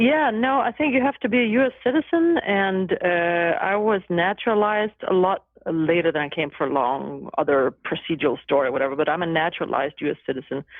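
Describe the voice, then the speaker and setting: A woman speaks at a fairly low pitch with a Danish accent, her pitch swinging very widely. She moves at a fairly quick pace with hardly any pauses, keeping her loudness very even. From Denmark. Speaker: law professor and judicial candidate. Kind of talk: podcast interview.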